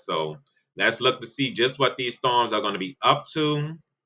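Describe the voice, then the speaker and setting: A man speaks at a moderate pace with a bright, sharp tone. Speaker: weather forecaster (online channel). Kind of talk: weather forecast discussion. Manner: casual, conversational.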